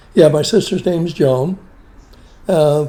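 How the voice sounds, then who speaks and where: With a dark, mellow tone, a man talks with ordinary pitch variation. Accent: western Pennsylvania. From western Pennsylvania (Beaver Falls area). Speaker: family elder interviewed about his life. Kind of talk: family oral-history interview.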